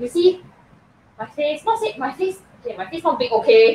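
A woman speaks with a slightly husky edge. Her pitch swings widely.

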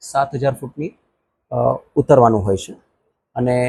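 Dry and close with no echo, the recording carries a man's somewhat breathy voice, dark and mellow in tone, at medium pitch with ordinary variation. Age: 50s. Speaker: amateur ultramarathon runner. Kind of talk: interview statement.

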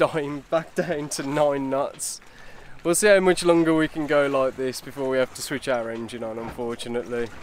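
A man speaks in a dry, echo-free sound over light background noise. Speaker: sailing vlogger. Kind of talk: casual vlog chat. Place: boat. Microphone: phone near.

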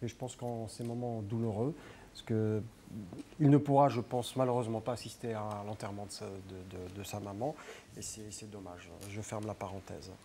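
Over light background noise, a man talks at a moderate pace in a fairly low voice, with ordinary pitch variation and big swings in loudness. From Algeria. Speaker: pro-democracy activist; studio guest or commentator. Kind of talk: political talk show debate. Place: studio. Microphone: lapel.

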